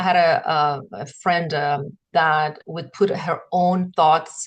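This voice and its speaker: Speaking very slowly with a non-native accent, a woman uses a very deep, low pitch and fairly even intonation. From grew up in several countries. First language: not English. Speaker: conference presenter. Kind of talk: conference presentation. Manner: halting.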